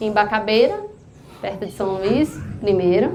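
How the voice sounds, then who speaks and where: Very slow speech with very wide pitch swings carries audible room echo and noticeable background noise. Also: woman. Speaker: psychologist giving a talk at church. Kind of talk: testimony. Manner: conversational.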